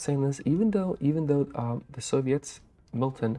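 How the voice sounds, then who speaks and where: A man is whispering at a moderate pace. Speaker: game commentator. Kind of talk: live commentary.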